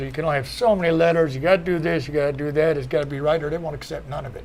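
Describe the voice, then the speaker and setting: A man's fairly high voice at a very fast pace. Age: 60s. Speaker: former cannabis prisoner. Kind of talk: panel discussion.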